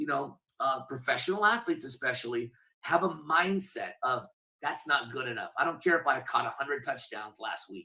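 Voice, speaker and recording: Energetic and confident, a man with a bright, sharp tone and fairly high pitch talks at a moderate pace with very wide pitch swings. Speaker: benefit auctioneer. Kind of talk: interview answer. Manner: energetic, confident.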